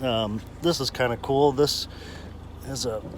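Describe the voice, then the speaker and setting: Against noticeable background noise, a man talks at a very slow pace and medium pitch with ordinary pitch variation. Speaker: car seller and video reviewer. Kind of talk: car walkaround video.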